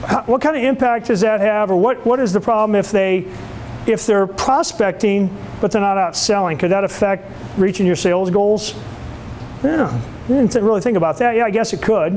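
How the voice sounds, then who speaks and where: Noticeable background noise sits behind a man speaking at a high pitch and a fairly quick pace. His loudness stays very even, with ordinary pitch variation. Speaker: sales trainer. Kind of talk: lecture. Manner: animated.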